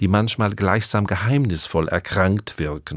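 A man has a normal speaking voice, fairly low in pitch with ordinary variation, at a moderate pace. The recording is very clean, with a silent background. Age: 60s. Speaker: radio preacher. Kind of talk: radio sermon. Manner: calm.

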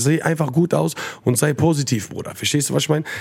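Somewhat breathy and animated, a man speaks at a very fast pace. His pitch varies in an ordinary way. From Frankfurt-Sossenheim, Germany. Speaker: rapper. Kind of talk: casual chat.

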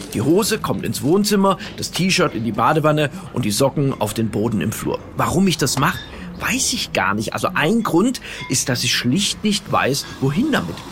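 Over music in the background, a man talks at a moderate pace in a fairly high pitch, his voice swinging very widely in pitch. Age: 50s. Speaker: radio comedian. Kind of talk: comedy monologue. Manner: direct address to listeners.

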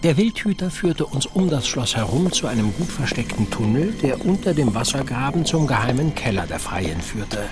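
A man's medium-pitched voice with very wide pitch swings, moderate pace and noticeable background noise. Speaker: narrating detective in audio drama. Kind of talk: scripted audio drama, first-person narration. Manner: dramatic, suspenseful, tense storytelling; formal, period-style.

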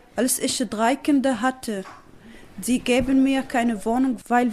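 At a very slow pace, the speaker talks with fairly even intonation in a non-native accent. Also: woman. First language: not German (speaking German). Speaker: refugee mother. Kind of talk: interview answers. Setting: at home in living room.

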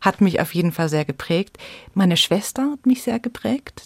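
A woman of medium pitch speaks at a moderate pace in a somewhat breathy voice, with a dry, close sound and no echo. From Munich, Bavaria. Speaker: storyteller and theatre educator. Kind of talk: interview.

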